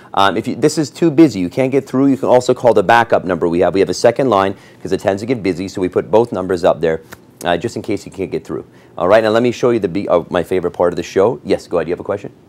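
Upbeat in tone, a man races along at a very fast pace. His pitch is fairly low and his intonation lively. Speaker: TV auction host. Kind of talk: TV shopping auction pitch, selling rugs live on air. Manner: upbeat, salesy, friendly, pitching fluently with filler pauses. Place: studio. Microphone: lapel.

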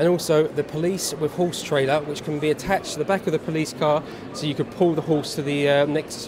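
A man talks as noticeable background noise carries on behind him. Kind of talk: product demonstration to a child. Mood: friendly, upbeat. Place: hall. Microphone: phone near.

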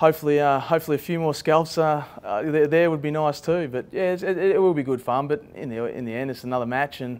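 At a very fast pace with hardly any pauses, a man speaks with ordinary pitch variation. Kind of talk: interview answer.

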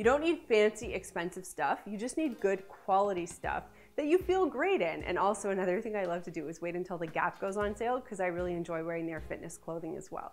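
The speech moves at a very fast pace with hardly any pauses. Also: woman. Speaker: lifestyle vlogger. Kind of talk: tips video talk to camera. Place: studio.

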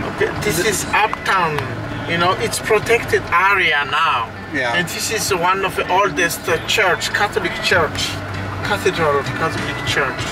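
The sound is dry with no echo, and the voice moves at a moderate pace. Clear music plays in the background. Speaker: local tour guide. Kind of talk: guided tour commentary. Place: car. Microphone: camera far.

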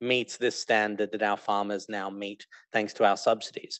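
A man talks at a moderate pace, the sound dry with no echo and the background quiet. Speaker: panel moderator. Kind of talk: moderated panel discussion. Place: stage.

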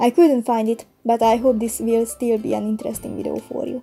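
A woman in a Hungarian accent at a fairly quick pace, with music in the background. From Hungary. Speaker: digital artist. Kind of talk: painting process voice-over.

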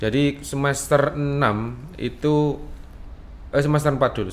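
Light background noise hums under this recording. The man talks at a moderate pace. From East Java, Blitar; East Java, Indonesia. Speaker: dance teacher. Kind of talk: interview. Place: studio. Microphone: studio mic.

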